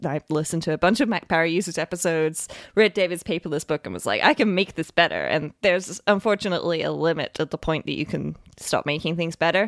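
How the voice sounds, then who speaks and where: This woman talks very fast in a fairly low register, with ordinary pitch variation and vocal fry. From UK. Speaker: software developer. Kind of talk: casual chat.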